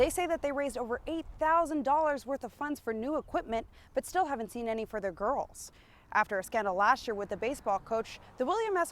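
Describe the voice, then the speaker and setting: Her high-pitched voice moving with lively intonation, a woman speaks at a fairly quick pace. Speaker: TV news reporter. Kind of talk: TV news report.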